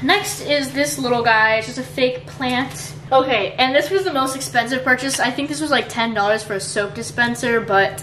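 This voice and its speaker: A woman's voice with hardly any pauses, audible room echo and light background noise. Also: moderate pace. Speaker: vlogger. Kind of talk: casual vlog chat. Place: home room. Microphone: camera far.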